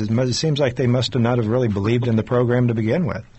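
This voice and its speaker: A man's somewhat breathy voice sits in the middle of his pitch range. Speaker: radio host. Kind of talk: radio interview.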